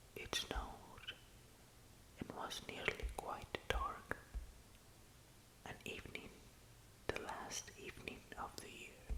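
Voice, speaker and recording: Whispering at a very slow pace, a man leaves long, frequent pauses, his loudness swinging widely amid noticeable background noise. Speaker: ASMR reading host. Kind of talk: sleep story reading. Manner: soft-spoken, slow.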